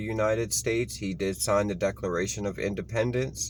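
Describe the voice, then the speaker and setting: A man talks fairly quickly with ordinary pitch variation. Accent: Baltimore. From Baltimore, Maryland. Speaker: history video host. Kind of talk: informal history reading to camera. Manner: halting, with ums and self-corrections.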